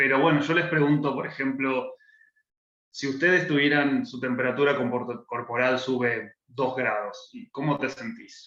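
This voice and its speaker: Pitched fairly high, a man talks at a fairly slow pace. His tone is bright and sharp, with ordinary pitch variation. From Argentina, Buenos Aires. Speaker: political scientist working on climate policy. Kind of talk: interview explanation.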